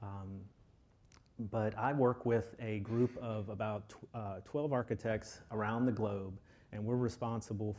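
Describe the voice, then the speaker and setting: With a Texan accent, a man speaks at a moderate pace in a fairly low pitch and a dark, mellow tone. His intonation is fairly even, and the recording is very clean with a silent background. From Texas, Austin. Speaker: software lead architect. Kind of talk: conference presentation. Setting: stage with audience. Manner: halting, many filler ums.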